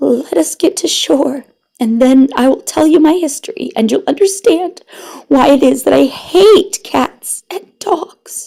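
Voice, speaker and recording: Putting on a character voice, a woman speaks at a high pitch in a shaky way. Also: fairly slow pace. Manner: emotional, passionate.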